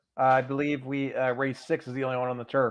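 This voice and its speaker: Speaking in a Philadelphia accent, a man has a medium-pitched voice. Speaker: horse racing handicapper. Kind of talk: live stream picks discussion.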